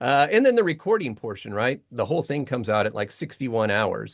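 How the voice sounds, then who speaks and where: A man with an ordinary speaking voice talks at a moderate pace and medium pitch, his intonation lively against a quiet background. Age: 50s. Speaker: voice artist and Bible translator. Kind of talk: casual interview. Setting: home voiceover studio.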